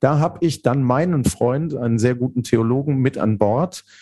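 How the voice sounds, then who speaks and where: A man speaks at medium pitch and a moderate pace. His tone is dark and mellow, with ordinary pitch variation. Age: 50s. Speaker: theologian and leadership coach. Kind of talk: podcast interview.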